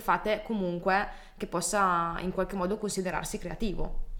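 A woman speaks at a moderate pace in a plain, everyday voice. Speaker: podcast host. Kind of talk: casual interview chat.

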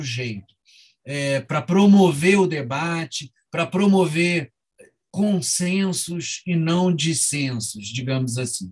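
A man with a high pitch talks at a very slow pace, his pitch varying in an ordinary way. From Rio de Janeiro, Brazil. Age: 50s. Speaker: novelist and book editor. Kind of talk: interview. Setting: video call.

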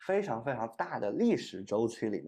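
The tone is dark and mellow. The man's pitch sits in the medium range. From China, Shenzhen. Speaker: podcast host, university student. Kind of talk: unscripted solo podcast monologue.

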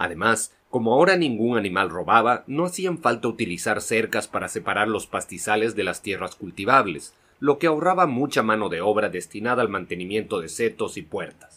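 With very wide pitch swings and a bright, sharp tone, a man at medium pitch talks at a fairly quick pace with hardly any pauses. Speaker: audiobook narrator. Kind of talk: audiobook narration, literary reading aloud. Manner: measured, steady storytelling pace.

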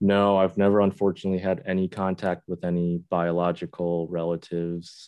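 This man has an American accent and a very deep, low pitch. He talks at a fairly quick pace with monotone, flat intonation and hardly any pauses. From Buffalo, New York. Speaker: Korean adoptee sharing life story. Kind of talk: interview conversation. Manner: halting, with repeated words.

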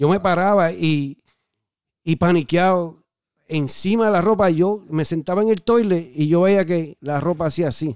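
High-pitched male voice at a fairly slow pace with ordinary pitch variation, dry and close with no echo, on a very clean recording with a silent background. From southern Puerto Rico. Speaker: former drug addict guest. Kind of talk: testimony. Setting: studio.

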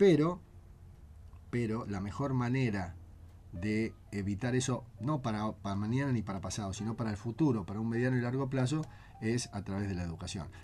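His pitch moves up and down in a typical way. This male voice has a dark, mellow tone. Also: medium pitch for a man, moderate pace. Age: 50s. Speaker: constitutional lawyer and author. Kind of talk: interview about his book.

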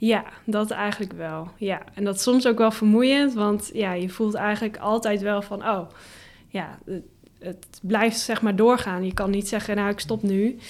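Medium pitch from a woman, fairly slow in pace and fairly even in intonation. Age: 20s. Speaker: full-time blogger. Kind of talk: podcast interview. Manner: hesitant with many fillers.

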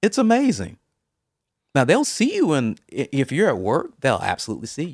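The man talks at a moderate speed. There is no echo, and the sound is dry and close. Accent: American. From US South, Mobile, Alabama. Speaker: interview guest. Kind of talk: casual interview.

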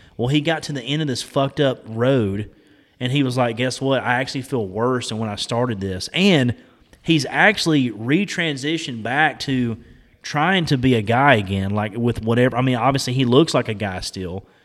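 Over a silent background in a very clean recording, a man speaks at a moderate pace and a medium pitch with ordinary pitch variation. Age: 30s. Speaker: podcast host. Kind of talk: casual chat. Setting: garage.

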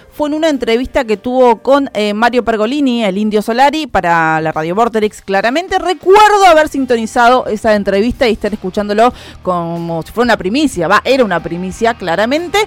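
Over music in the background, a woman with a fairly high pitch talks at a fairly quick pace with hardly any pauses and very wide pitch swings. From Argentina. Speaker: radio music show co-host. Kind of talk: casual radio chat about an album.

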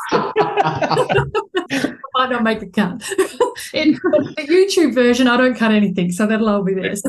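With an Australian accent, a woman speaks at a high pitch and a fairly slow pace, her pitch swinging very widely over noticeable background noise. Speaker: podcast host and surrogacy support organiser. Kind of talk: interview.

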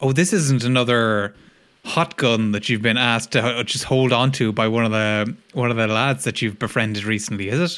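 A man with an Irish accent at a fairly quick pace, in a very clean recording with a silent background. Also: medium pitch for a man, ordinary pitch variation. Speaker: comedy podcast co-host. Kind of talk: casual chat.

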